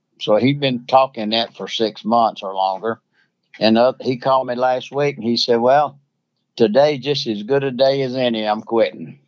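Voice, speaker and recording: Against a quiet background, a man talks at a moderate pace, medium pitch, and fairly even intonation. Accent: Southern US. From Alabama. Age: 80s+. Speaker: coon hunter. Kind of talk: casual chat. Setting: phone call.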